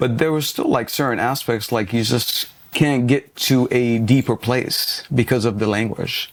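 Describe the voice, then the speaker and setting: Here a man speaks at a fairly slow pace with hardly any pauses. His intonation stays fairly even. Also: medium pitch for a man. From Lebanon, moved to US at about eleven. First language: Arabic. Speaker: business coach. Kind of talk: podcast interview.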